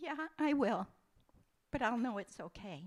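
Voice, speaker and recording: Her intonation lively, a woman talks with vocal fry. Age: 70s. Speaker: church service guest sharing life story. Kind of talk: personal testimony in interview.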